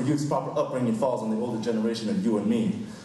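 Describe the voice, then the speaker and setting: A man with an American accent talks at a very fast pace, his pitch swinging very widely. Background noise is noticeable. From United States. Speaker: slam poet. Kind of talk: spoken word poetry performance. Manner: rhythmic, fast.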